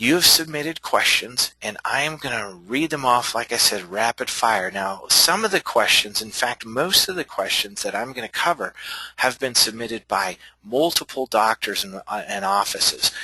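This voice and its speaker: This man talks at a moderate pace in a plain, everyday voice, his medium pitch carried by lively intonation, with a dry, close sound and no echo. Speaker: chiropractor and billing consultant. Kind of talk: webinar presentation.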